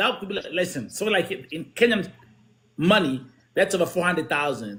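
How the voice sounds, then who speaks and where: A man with a high pitch and a bright, sharp tone speaks at a fairly quick pace with lively intonation. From Germany, born in Kenya. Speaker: show host, former DJ and rapper. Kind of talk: casual chat. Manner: animated; repetitive false starts.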